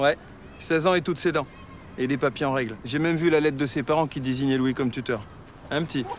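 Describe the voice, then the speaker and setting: A man talks at a very fast pace in a fairly high pitch with fairly even intonation. He leaves long, frequent pauses. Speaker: actor (comédien). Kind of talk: dramatic dialogue, TV drama scene.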